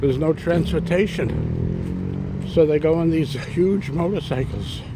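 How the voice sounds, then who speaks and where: A high-pitched man with an American accent, over noticeable background noise. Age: 70s. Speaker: vlogger. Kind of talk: casual vlog talk. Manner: halting, repeats words.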